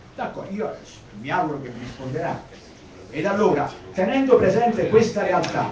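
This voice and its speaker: Moderate-paced male speech full of very wide pitch swings, noticeable background noise behind it. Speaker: attendee speaker. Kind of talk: public assembly speech.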